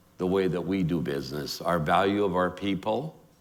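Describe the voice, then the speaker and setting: Audible room echo surrounds a man with a Canadian accent. He speaks at a moderate pace with lively intonation. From immigrant to Calgary, Canada as child (1952). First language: not English. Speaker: award honoree, entrepreneur. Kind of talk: onstage interview. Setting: stage with audience. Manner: animated.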